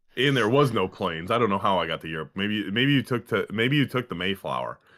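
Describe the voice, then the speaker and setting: This man speaks at a fairly quick pace, his pitch swinging very widely, with vocal fry. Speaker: podcast co-host. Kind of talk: casual chat.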